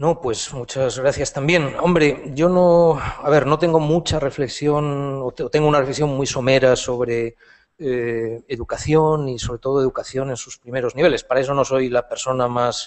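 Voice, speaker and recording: Hardly pausing, a man speaks at a moderate pace. His pitch is fairly high and his intonation fairly even. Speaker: philosophy professor and essayist. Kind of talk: Q&A answer after a lecture. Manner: halting, many fillers and repetitions.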